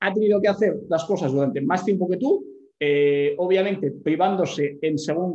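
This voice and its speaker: A high-pitched male voice, moderate in pace, with ordinary variation in pitch. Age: 20s. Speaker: fitness coach and entrepreneur. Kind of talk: casual chat.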